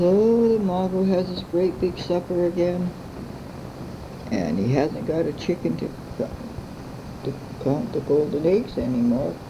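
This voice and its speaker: Lively in intonation, a woman speaks with long, frequent pauses against noticeable background noise. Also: fairly slow pace. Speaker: grandmother telling family stories. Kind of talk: bedtime story telling. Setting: home recording.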